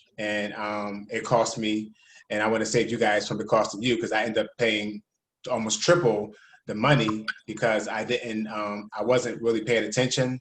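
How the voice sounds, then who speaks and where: The speaker has a Philadelphia accent. The intonation stays fairly even. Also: man, fairly low pitch for a man. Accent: Philadelphia American English. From Philadelphia, US. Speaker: network marketing leader. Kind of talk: casual presentation on video call. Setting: video call. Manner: fast.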